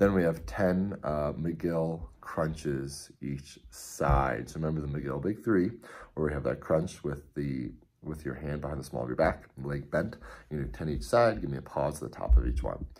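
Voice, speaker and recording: This voice has vocal fry and moves at a moderate pace. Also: man, very deep, low pitch for a man, ordinary pitch variation. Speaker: CrossFit coach. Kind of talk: workout briefing. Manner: casual, many filler words. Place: home room. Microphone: phone near.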